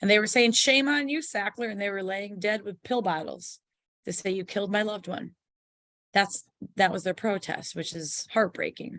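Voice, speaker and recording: Against a quiet background, a woman with an ordinary speaking voice and medium pitch talks at a moderate pace. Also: ordinary pitch variation. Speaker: public information officer giving an educational seminar. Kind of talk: online informational seminar. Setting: online video call.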